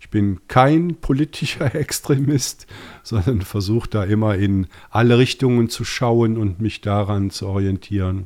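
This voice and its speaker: In a very clean recording with a silent background, a man with a slight Rhineland accent speaks at a fairly slow pace and a fairly low pitch. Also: ordinary pitch variation, big swings in loudness. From Rhineland, Germany (Bonn). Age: 50s. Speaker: podcast host, IT project manager. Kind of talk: casual chat.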